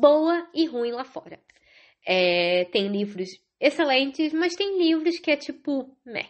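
A woman speaking in an animated tone. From Rio de Janeiro, Brazil. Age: 30s. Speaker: podcast host. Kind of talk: casual solo podcast monologue. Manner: chatty, animated.

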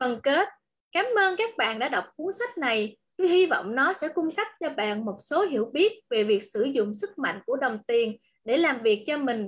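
A woman speaks at a high pitch, her voice making very wide pitch swings. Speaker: book club reader. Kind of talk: reading aloud.

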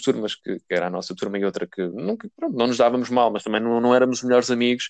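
A man with a plain, everyday voice, medium pitch, ordinary pitch variation and a dry, close sound with no echo. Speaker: podcast co-host. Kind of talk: casual chat.

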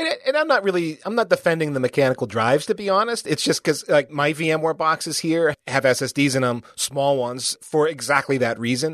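A man with an American accent talks in a plain, everyday voice at a fairly quick pace and fairly high pitch. His intonation is lively, and the sound is dry and close with no echo. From United States. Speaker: podcast host. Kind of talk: casual interview chat.

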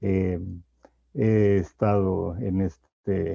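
The man's dark, mellow tone comes through in a dry, close sound with no echo. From Mexico. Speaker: public health activist. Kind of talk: interview. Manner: halting.

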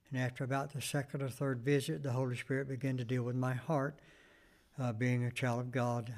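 A man's medium-pitched voice with fairly even intonation, recorded very cleanly against a silent background. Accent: Southern US. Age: 70s. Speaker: pastor and Vietnam veteran. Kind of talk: interview. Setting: church. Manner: brief answers.

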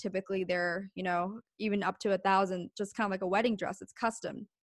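Over a quiet background, a woman with a plain, everyday voice and an American accent speaks at medium pitch with ordinary pitch variation. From US East Coast, Pennsylvania. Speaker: business owner and podcast host. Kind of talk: interview.

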